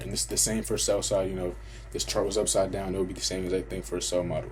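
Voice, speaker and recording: A man at a very fast pace, with audible room echo. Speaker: trading educator. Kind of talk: tutorial. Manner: casual.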